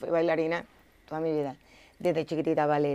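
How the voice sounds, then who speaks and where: At a very fast pace, a woman speaks in a very deep, low voice with a dark, mellow tone. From Puerto Rico, Caguas; Puerto Rico. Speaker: entertainment reporter. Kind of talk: casual interview. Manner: animated. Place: studio.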